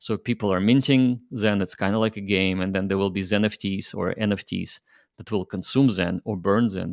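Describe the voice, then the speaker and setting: A man's plain, everyday voice, fairly low in pitch and fairly even in intonation, at a moderate pace, in a very clean recording with a silent background and a dry, close sound with no echo. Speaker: crypto project founder. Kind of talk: interview.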